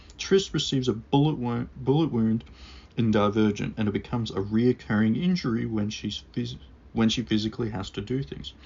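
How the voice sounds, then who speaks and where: A man speaks at a fairly quick pace in a normal speaking voice. His pitch sits in the medium range, with lively intonation. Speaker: book reviewer. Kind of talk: scripted book review read to camera.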